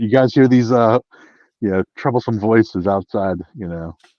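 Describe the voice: Someone does plain reading aloud, and the pitch varies in an ordinary way. Behind it, all is quiet.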